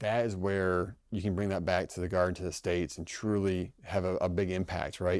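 At a moderate pace and with hardly any pauses, a man speaks in a very deep, low voice, recorded very cleanly over a silent background. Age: 30s. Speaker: army officer, congressional fellow. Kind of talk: interview.

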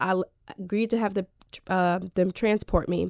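A woman speaks with a New Jersey accent, the sound dry and close with no echo. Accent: New Jersey American. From New Jersey (Elizabeth, near Newark). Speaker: mental health advocate and podcaster. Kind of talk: radio interview, personal testimony.

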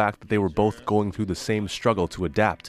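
A plain, everyday voice from a man, fairly low in pitch, at a moderate pace against a quiet background. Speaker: podcast host narrator. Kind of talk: scripted narration. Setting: studio.

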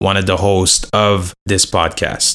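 A man with an unremarkable speaking voice, fairly low pitch and fairly slow pace. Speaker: podcast producer. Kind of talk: podcast intro.

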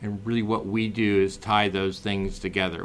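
A man with a General American accent and a plain, everyday voice speaks at a moderate pace, his fairly low pitch showing ordinary variation. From US West, Oregon. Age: 50s. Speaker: entrepreneur. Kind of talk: interview. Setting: studio.

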